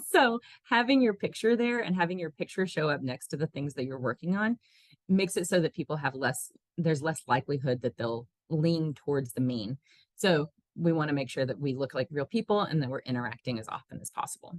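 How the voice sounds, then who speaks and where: A woman with a very deep, low pitch speaks at a fairly quick pace, her pitch swinging very widely, in a dry, close sound with no echo. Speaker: tech support staff. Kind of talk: webinar tutorial. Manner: fast.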